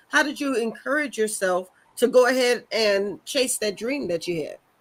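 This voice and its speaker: Lively intonation and a bright, sharp tone. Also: woman. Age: 50s. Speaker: talk show host. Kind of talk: interview. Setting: studio.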